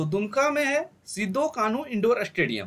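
The voice has a fairly bright tone and very wide pitch swings. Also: moderate pace.

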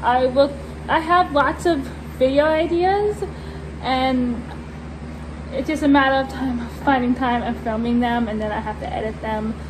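A woman speaks at a moderate pace, leaving long, frequent pauses, with noticeable background noise behind her. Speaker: vlogger. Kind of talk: casual vlog chat. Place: farm machine. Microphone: phone near.

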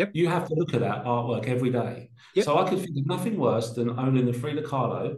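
Very fast, lively speech in a London accent. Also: man, medium pitch for a man. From South London (Peckham). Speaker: art logistics company director. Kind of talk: casual interview chat.

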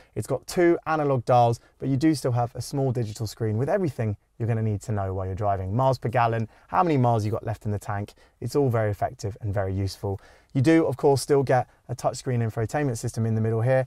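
Speaking at a very fast pace, a man with a dark, mellow tone and ordinary pitch variation comes through dry with no echo over a quiet background. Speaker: car reviewer. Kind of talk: car review presentation. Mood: upbeat, friendly. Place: car. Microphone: lapel.

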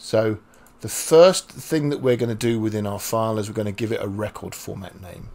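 A man's pitch varies an ordinary amount as he talks fairly quickly. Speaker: programming instructor. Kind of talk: tutorial. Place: home room.

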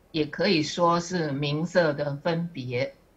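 A woman at a very slow pace, fairly low in pitch, with ordinary pitch variation. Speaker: student sharing study. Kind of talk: class presentation. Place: classroom. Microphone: podium.

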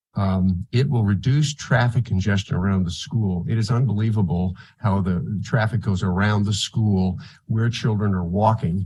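This man has a fairly low pitch, a dark, mellow tone and a somewhat breathy quality. He keeps a moderate pace, very even loudness and ordinary pitch variation. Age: 70s. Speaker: public commenter. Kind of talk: public testimony.

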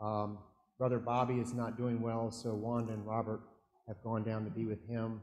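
A man speaks at a moderate pace in a flat monotone. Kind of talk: welcome address to the congregation. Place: church. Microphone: camera far.

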